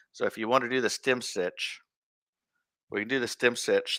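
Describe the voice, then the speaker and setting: The speaker talks at a moderate pace in an Iowa accent. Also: man. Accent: Iowa accent, northern US. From Iowa, US Midwest. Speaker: embroidery teacher, friend of host. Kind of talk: casual instructional chat. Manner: halting, repeats words.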